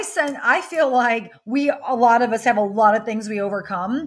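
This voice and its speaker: A woman with an American accent speaks at a fairly slow pace in a high pitch with lively intonation. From US Midwest, rural Wisconsin. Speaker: business coach. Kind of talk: interview.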